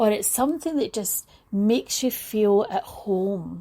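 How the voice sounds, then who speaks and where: A woman speaks in a Scottish accent with a dark, mellow tone. Her pitch is fairly high and swings very widely. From Scotland. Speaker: talk show host. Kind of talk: casual monologue. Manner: animated.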